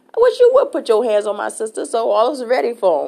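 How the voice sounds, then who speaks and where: A woman with a fairly high voice talks at a very fast clip, her words edged with vocal fry. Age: 40s. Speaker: podcast host. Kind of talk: personal monologue answering listener email. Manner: casual, hesitant with many fillers.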